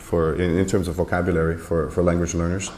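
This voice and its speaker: Audible room echo around a man with a Portuguese accent. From Canada. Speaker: graded reader editor and panelist. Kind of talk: panel discussion at a conference. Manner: hesitant, many fillers and repetitions.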